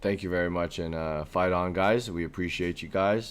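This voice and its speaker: A man's very deep, low voice. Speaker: sports podcast co-host. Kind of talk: casual chat. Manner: animated.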